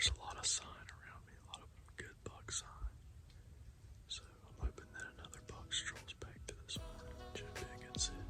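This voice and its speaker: Over music in the background, whispering comes at a fairly quick pace with long, frequent pauses and big swings in loudness. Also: man. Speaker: hunter vlogger. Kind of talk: hunting vlog narration. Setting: outdoors in the woods. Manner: quiet, hushed.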